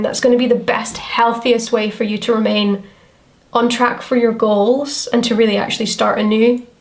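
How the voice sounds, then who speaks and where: Over noticeable background noise, a woman with a Scottish accent speaks at a moderate pace in a fairly high pitch, her intonation monotone and flat. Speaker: tarot reader. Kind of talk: tarot reading to camera. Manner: casual, chatty.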